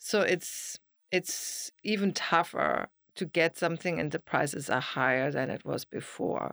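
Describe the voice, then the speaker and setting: A woman with a German accent speaks at a fairly slow pace in a fairly low pitch with vocal fry and ordinary pitch variation, on a very clean recording with a silent background and a dry, close sound with no echo. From Germany. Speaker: realtor and architectural historian. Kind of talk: casual interview.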